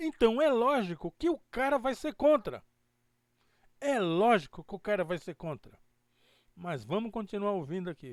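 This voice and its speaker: On a very clean recording with a silent background and a dry, close sound with no echo, a man with a high pitch and very wide pitch swings talks at a moderate pace with long, frequent pauses. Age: 70s. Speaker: podcast host and web radio presenter. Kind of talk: casual commentary reacting to a played video. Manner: conversational, informal.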